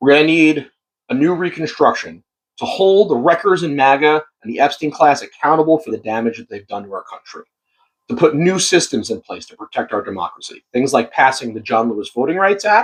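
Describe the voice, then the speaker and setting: Fairly high-pitched for a man, this American-accented speaker moves through very wide pitch swings and big swings in loudness. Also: fairly quick pace. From Long Island, New York. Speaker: political candidate. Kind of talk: campaign speech.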